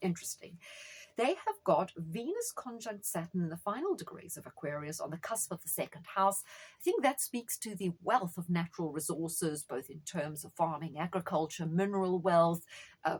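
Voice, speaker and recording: Somewhat breathy and fairly low in pitch, a woman speaks at a moderate pace with ordinary pitch variation and big swings in loudness. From South Africa. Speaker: astrologer. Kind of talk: monologue on astrology. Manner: animated.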